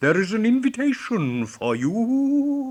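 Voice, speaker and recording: Putting on a pompous character voice, a man talks fairly slowly at an extremely high pitch. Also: quiet background. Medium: read story. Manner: pompous, fussy.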